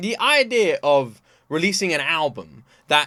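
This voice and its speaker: The recording is very clean and the background silent. On it, a man talks with a British accent. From Britain. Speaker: reaction video creator. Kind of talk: casual reaction commentary. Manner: animated.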